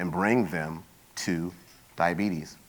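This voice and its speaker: A man in a New York accent with fairly even intonation. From New York, Queens. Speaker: health industry consultant and bioethicist. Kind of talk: conference talk. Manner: fast.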